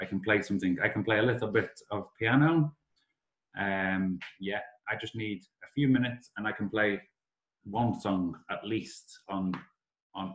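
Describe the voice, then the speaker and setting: Amid audible room echo, a man with a Liverpool accent speaks in a fairly low voice, leaving long, frequent pauses. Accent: Liverpool (Scouse). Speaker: summer school director; English teacher presenting. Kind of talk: online class presentation to foreign students. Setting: video call. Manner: slow, simplified speech for learners; animated. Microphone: video call.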